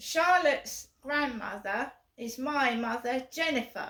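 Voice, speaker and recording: Speaking with an English accent, a woman talks at a very slow pace in a high pitch. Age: 50s. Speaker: vlogger. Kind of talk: casual vlog. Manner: repetitive.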